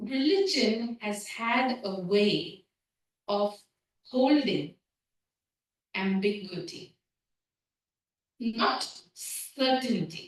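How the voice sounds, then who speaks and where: The speech moves at a very slow pace with lively intonation. The voice is somewhat breathy. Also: woman, fairly high pitch for a woman. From India. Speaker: seminary dean and scholar of religion. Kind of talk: lecture.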